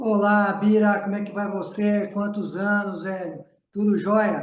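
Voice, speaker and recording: A high-pitched man's voice at a fairly slow pace, monotone and flat, with audible room echo. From São Paulo state, Brazil (Jundiaí). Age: 60s. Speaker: basketball coach. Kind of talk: interview.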